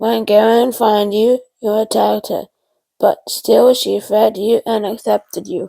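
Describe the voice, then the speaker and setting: In a put-on character voice, a woman growls in a raspy tone at a fairly high pitch and a fairly slow pace. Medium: read story. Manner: growling, firm.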